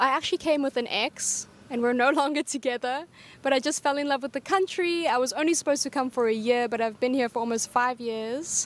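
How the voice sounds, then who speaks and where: A woman speaks at a high pitch and a fairly quick pace. The sound is dry and close, with no echo. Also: ordinary pitch variation. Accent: South African. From South Africa. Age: 20s. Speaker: expat teacher. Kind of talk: street interview.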